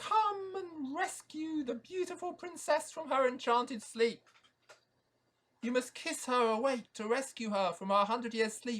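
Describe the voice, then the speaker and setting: A man performs a put-on character voice at an extremely high pitch. He keeps a moderate pace. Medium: read story. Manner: hooting, long-winded, solemn.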